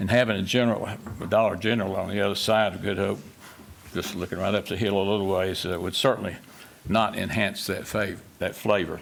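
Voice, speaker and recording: A western North Carolina accent at a fairly quick pace, in monotone, flat intonation. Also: man, fairly low pitch for a man. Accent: Southern US (western North Carolina). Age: 80s+. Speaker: local landowner speaking at public hearing. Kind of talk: public hearing testimony. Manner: halting, many fillers.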